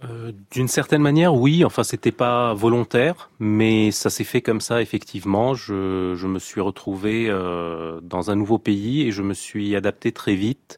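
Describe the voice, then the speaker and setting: A man with an unremarkable speaking voice, fairly low pitch, ordinary pitch variation, and a fairly slow pace with hardly any pauses, in a dry, close sound with no echo. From Lebanon. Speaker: chef. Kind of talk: radio interview.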